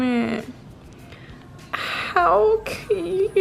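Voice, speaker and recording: A woman is speaking. Noticeable background noise sits behind her. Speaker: fitness influencer. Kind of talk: product unboxing vlog. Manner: animated.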